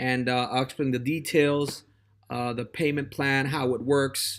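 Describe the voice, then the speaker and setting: A man speaks with a Spanish accent. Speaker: test prep tutor. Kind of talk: casual monologue. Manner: halting, many fillers and repetitions.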